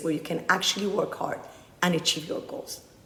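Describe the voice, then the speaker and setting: A woman speaks with a Persian accent. Noticeable background noise and audible room echo are present. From Iran, emigrated to US at twelve. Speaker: political candidate, community activist. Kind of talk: conference speech.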